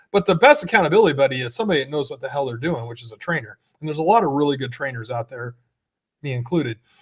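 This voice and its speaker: Very fast and somewhat breathy, a man speaks with lively intonation and big swings in loudness. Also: fairly high pitch for a man. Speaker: personal trainer and podcast co-host. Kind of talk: casual chat. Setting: gym studio. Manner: slurring S's.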